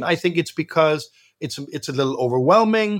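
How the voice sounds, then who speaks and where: On a very clean recording with a silent background, a man with a Danish accent speaks at a high pitch. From Denmark, Copenhagen. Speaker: founder of a nonprofit. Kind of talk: interview.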